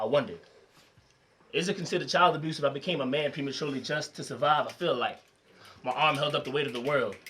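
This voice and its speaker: This man talks very fast in a fairly high pitch, his tone bright and sharp. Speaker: slam poet. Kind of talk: slam poetry performance.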